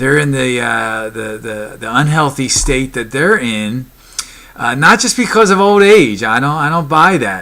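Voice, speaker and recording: Noticeable background noise around a man speaking fairly slowly. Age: 50s. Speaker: fitness vlogger. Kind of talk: motivational talk to camera. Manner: halting, many fillers.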